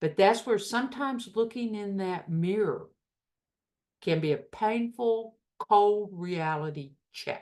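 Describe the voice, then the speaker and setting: A woman in a Southern US accent, at a medium pitch and fairly slow pace. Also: lively intonation. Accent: US South. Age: 60s. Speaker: recovery group leader. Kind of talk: talk to a recovery group.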